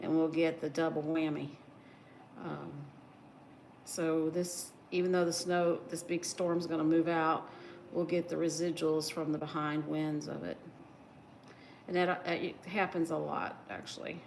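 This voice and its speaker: In a slight Southern US accent, a woman speaks fairly slowly at a fairly low pitch, her relaxed tone monotone and flat, with long, frequent pauses and audible room echo. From West Virginia. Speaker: crochet livestreamer. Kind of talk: casual livestream chat while crafting. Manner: relaxed, hesitant with fillers.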